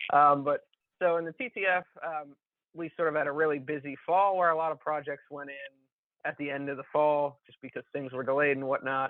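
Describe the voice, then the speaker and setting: A man talks at a fairly quick pace with fairly even intonation. His voice is fairly high-pitched, with big swings in loudness. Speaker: watershed conservation staff. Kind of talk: presentation on video call. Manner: fast.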